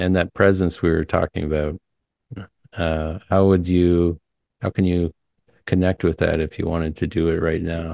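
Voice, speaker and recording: In a dry, close recording with no echo, a man speaks at a moderate pace in a very deep, low, dark and mellow voice, flat and monotone, with long and frequent pauses. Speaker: hypnotist interviewer. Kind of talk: casual chat; guided hypnosis.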